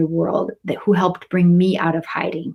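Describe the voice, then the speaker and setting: With an American accent, a woman speaks at a medium pitch and a moderate pace. Her voice is somewhat breathy. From US Midwest, Michigan. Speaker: professor. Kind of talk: welcome address to students.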